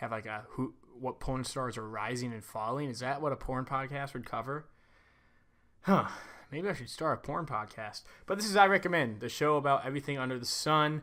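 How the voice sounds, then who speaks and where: Recorded very cleanly against a silent background, a man talks at a fairly quick pace in a medium pitch, his tone bright and sharp and his pitch varying in an ordinary way. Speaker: podcast host. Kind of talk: podcast intro and interviewer. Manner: casual, joking.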